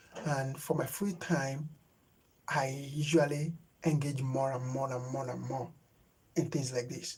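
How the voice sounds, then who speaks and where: Somewhat breathy and fairly high-pitched, a man speaks with fairly even intonation and long, frequent pauses. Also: fairly slow pace. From Nigeria. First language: Yoruba. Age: 30s. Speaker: YouTube creator. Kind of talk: live stream chat. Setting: live stream. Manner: halting, with many fillers.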